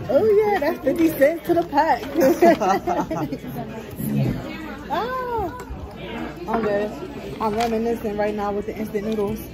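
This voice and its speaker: The pace is fairly slow, with long, frequent pauses. Music plays in the background. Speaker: vlogger. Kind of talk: casual vlog chat. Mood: playful, laughing. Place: cafe. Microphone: phone near.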